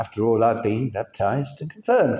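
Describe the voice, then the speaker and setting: At a moderate pace, a man is talking. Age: 60s. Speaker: lay preacher. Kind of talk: sermon. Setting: church.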